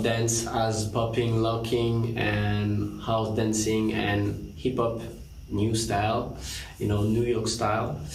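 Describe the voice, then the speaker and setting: The delivery is very slow. Noticeable background noise and audible room echo fill the recording. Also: man. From France. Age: 30s. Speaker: dancer and choreographer. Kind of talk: panel presentation. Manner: halting, many fillers.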